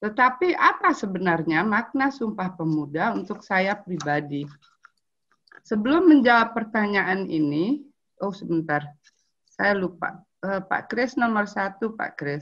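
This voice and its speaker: A woman talks at a fairly slow pace with very wide pitch swings. The background is quiet. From Indonesia, Palembang; Indonesia. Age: 50s. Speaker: anthropologist and writer; webinar speaker. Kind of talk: prepared talk read aloud. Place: home room. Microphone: video call.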